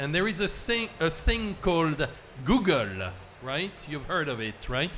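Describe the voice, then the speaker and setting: A man with a French accent at a fairly high pitch and fairly slow pace, very wide pitch swings, and audible room echo. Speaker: panel moderator. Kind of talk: panel discussion moderation. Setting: conference event with audience. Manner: hesitant, many fillers.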